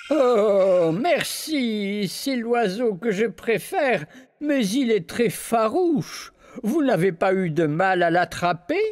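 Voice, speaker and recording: A man puts on a character voice, high in pitch with very wide pitch swings. His pace is very slow and his loudness very even. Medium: read story. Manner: warm, benevolent.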